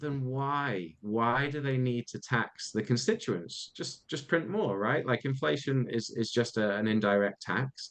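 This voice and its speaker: A man with a British accent speaks at a fairly slow pace, with hardly any pauses. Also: medium pitch for a man, ordinary pitch variation. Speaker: podcast co-host. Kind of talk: casual discussion.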